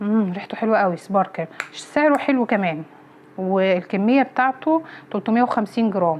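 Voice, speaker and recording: A woman speaks with an Egyptian accent at medium pitch. Her pace is moderate and her intonation lively. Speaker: home vlogger. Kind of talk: shopping haul vlog. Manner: animated.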